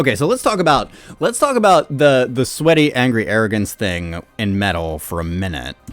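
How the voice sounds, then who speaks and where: A man at a medium pitch with very wide pitch swings, moderate pace, music in the background. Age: 30s. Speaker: YouTube music reactor. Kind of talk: reading and reacting to comments. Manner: casual, halting with fillers.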